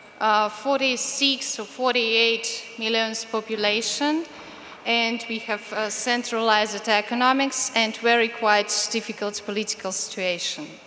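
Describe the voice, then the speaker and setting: At a fairly slow pace, a woman speaks with a fairly high pitch and fairly even intonation. Noticeable background noise is present. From Ukraine. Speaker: activist. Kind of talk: speech.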